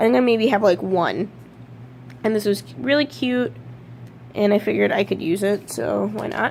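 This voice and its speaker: Amid noticeable background noise, a woman with a medium-pitched voice speaks at a moderate pace, with very wide pitch swings and long, frequent pauses. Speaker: witchcraft vlogger. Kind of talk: casual haul video.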